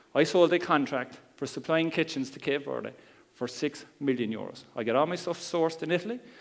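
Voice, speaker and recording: A fairly quick man with a Cork accent, fairly high pitch, vocal fry and ordinary pitch variation, on a very clean recording with a silent background. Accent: Cork Irish. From Ireland, Cork. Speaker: internet marketer. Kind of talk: seminar talk. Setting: stage with audience. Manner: calm, conversational.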